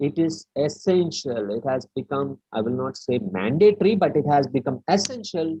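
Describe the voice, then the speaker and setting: With a Keralan accent, a man speaks at a moderate pace in a fairly high pitch, with hardly any pauses and very wide pitch swings. His tone is dark and mellow and somewhat breathy. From India, raised in Delhi. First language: Malayalam. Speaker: webinar speaker, educator. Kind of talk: lecture. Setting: online webinar. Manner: halting, many fillers.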